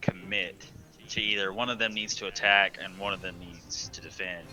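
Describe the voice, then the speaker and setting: Music plays in the background as a man with a Southern US accent talks at a moderate pace. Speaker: game streamer. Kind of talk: live commentary. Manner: halting, stumbles over words.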